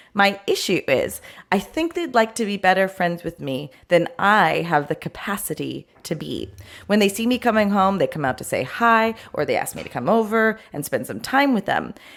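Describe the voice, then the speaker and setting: A woman with vocal fry and very wide pitch swings at a moderate pace, on a very clean recording with a silent background. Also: medium pitch for a woman. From Italian-American. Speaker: podcast co-host and producer. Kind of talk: reading a listener's email aloud.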